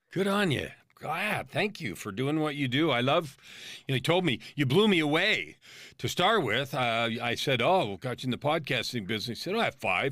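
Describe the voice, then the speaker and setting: Fairly high male voice, bright and sharp, with very wide pitch swings at a moderate pace. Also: very clean recording, silent background. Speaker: life coach and author. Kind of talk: interview testimony.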